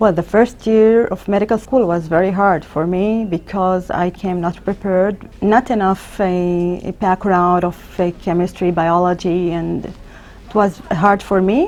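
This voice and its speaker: This speaker has an Arabic accent and fairly even intonation. The pace is fairly slow, with hardly any pauses. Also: woman, medium pitch for a woman. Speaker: emergency physician. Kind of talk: interview. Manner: halting, with repetitions.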